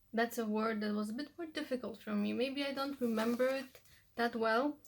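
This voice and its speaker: The speaker has a Polish accent and fairly even intonation. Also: woman. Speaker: language-learning vlogger. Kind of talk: tutorial. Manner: casual, with fillers.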